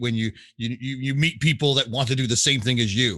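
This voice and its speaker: In a very clean recording with a silent background, a man with a Canadian accent speaks loud and enthusiastic, in a bright, sharp tone at medium pitch with ordinary pitch variation and a moderate pace. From England, then Toronto area, Canada. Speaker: sports broadcaster and arena announcer. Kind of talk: interview. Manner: loud, enthusiastic.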